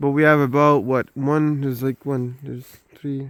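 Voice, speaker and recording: A man in a Quebec accent with monotone, flat intonation, in a dry, close sound with no echo. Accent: Québécois French accent in English. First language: French. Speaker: homesteader. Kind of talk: casual walking tour vlog. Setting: outdoors. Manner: halting, many fillers.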